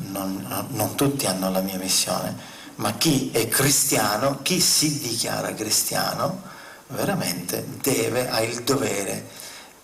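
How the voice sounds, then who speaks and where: At a very slow pace, a man speaks at a medium pitch with lively intonation, with noticeable background noise and audible room echo. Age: old. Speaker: spiritual speaker on UFOs. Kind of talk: conference talk. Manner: impassioned.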